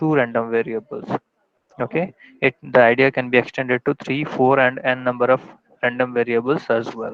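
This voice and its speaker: A man with a normal speaking voice talks at a fairly quick pace, using medium pitch and fairly even intonation. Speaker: college lecturer. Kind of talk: online lecture.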